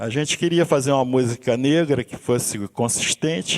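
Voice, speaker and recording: A man at a moderate pace with ordinary pitch variation, a dry, close sound with no echo, and noticeable background noise. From Brazil, Rio de Janeiro suburbs. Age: 60s. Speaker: musician and university instructor. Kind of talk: seminar talk. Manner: halting, frequent restarts.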